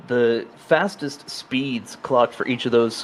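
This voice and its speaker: With an American accent, a man speaks in a medium pitch with fairly even intonation over noticeable background noise. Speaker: sim racing commentator. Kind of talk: live commentary.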